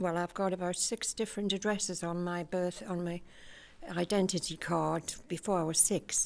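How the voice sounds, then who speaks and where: The speaker is a woman with a medium-pitched voice. She keeps her intonation fairly even. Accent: Geordie. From Newcastle, northeast England. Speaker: community group member. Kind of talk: personal life story.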